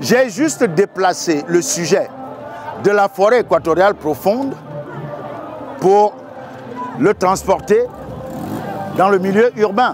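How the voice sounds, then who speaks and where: A man's high-pitched voice at a very slow pace, with lively intonation, very even loudness, long and frequent pauses, and music in the background. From Cameroon. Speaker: storyteller. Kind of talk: interview answer.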